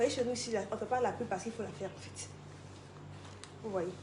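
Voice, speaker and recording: Over noticeable background noise and audible room echo, a woman speaks in a fairly high voice. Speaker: product presenter. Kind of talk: sales pitch. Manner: fast.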